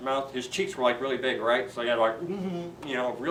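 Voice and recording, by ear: Reading aloud in a natural voice, the speaker has lively intonation.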